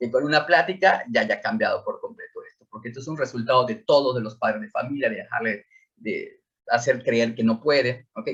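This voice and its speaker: A man talks fairly quickly, his loudness rising and falling sharply. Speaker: school psychologist. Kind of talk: lecture. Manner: hesitant with repetitions.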